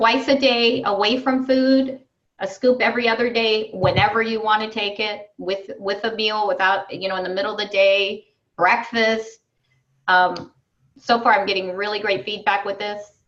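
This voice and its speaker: A woman with a plain, everyday voice and fairly high pitch speaks at a moderate pace with fairly even intonation. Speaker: wellness coach. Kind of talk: online group coaching call.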